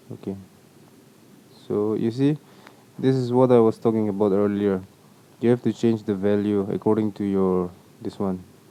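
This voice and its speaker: Speaking with a non-native accent, a man uses a dark, mellow tone and a fairly low pitch, keeping fairly even intonation at a moderate pace with long, frequent pauses. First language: not English. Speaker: video editing tutorial maker. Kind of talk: tutorial. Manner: casual, with fillers and self-corrections.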